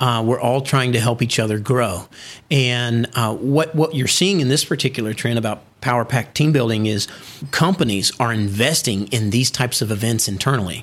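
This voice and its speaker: At a moderate pace, this man uses a plain, everyday voice of medium pitch, with ordinary pitch variation and loudness that stays very even. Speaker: business founder. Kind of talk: interview. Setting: studio office in China.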